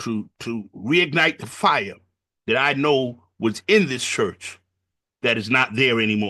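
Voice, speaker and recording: Against a quiet background, a man with an American accent talks at a fairly slow pace in a medium pitch, his tone bright and sharp and his intonation lively. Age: 60s. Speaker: pastor. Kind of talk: panel discussion. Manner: halting.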